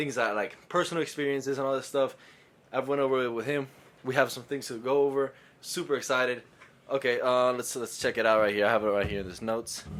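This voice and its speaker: A man speaks at a very fast pace with a medium pitch. His intonation stays fairly even. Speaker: podcast co-host. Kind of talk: casual chat. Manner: halting, stuttering; scattered, all over the place.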